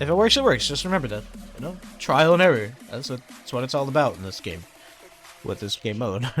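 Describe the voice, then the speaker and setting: A man at a medium pitch and a fairly quick pace, with very wide pitch swings, big swings in loudness, long, frequent pauses and music in the background. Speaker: gaming tutorial creator. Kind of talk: tutorial. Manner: casual, halting with fillers.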